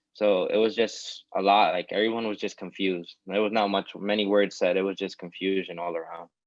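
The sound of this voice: Speaking at a fairly quick pace, the man has a low pitch. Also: fairly even intonation.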